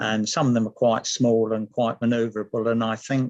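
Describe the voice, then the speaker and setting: A man with a southern English accent speaks at a medium pitch in a flat, monotone delivery, with music playing in the background. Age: 70s. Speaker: model glider designer. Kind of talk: online talk.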